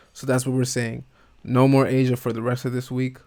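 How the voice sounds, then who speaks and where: At a medium pitch, a man speaks at a fairly quick pace. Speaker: day trader. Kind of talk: trading session recap. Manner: casual, thinking aloud; slurring words.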